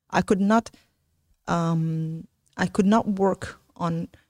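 A woman speaks very slowly with an Arabic accent. The sound is dry and close, without echo. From Palestine. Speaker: startup founder. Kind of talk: interview conversation.

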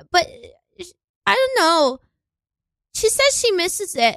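This woman's voice is extremely high, raised and projected, with a bright, sharp tone, an animated delivery and very wide pitch swings. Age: 20s. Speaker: educator and improv comedian. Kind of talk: casual chat. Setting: studio.

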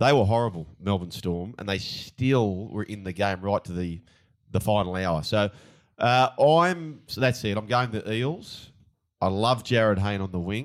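In an Australian accent, a man speaks at a fairly slow pace with a fairly low pitch and ordinary pitch variation, on a very clean recording with a silent background. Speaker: former rugby league player turned pundit. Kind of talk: casual sports betting chat.

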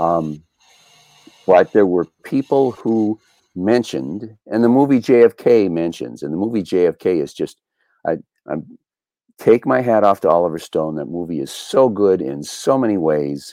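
Dry and close with no echo, a man's very deep, low voice with an American accent and a dark, mellow tone moves at a fairly slow pace, swinging very widely in pitch and pausing long and often. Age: 70s. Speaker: documentary filmmaker and JFK researcher. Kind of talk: casual interview.

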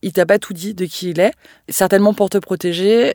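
A woman at a very fast pace, on a very clean recording with a silent background. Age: 30s. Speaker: communications manager sharing a personal story. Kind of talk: testimony.

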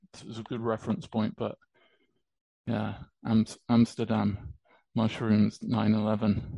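A man with a British accent speaks very slowly in a dark, mellow tone, his intonation monotone and flat. Long pauses come often. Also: medium pitch for a man, big swings in loudness. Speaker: musician and crypto enthusiast. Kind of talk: casual interview chat.

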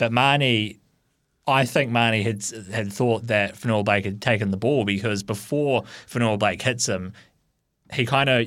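A man with a New Zealand accent at medium pitch and moderate pace, with fairly even intonation, on a very clean recording with a silent background. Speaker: rugby league pundit. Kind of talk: sports talk radio.

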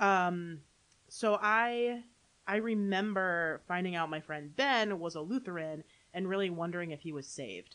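Against a quiet background, a woman with a plain, everyday voice talks at a moderate pace and fairly low pitch, with ordinary pitch variation. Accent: American. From US Midwest, Holland, Michigan. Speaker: pastor. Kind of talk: interview testimony.

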